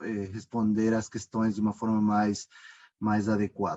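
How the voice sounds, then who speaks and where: At a fairly slow pace, a man speaks in a dark, mellow tone at a medium pitch, in a dry, close sound with no echo. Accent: Ecuadorian. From Ecuador. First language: Spanish (speaking Portuguese). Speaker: company founder and finance executive. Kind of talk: presentation. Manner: hesitant, many fillers.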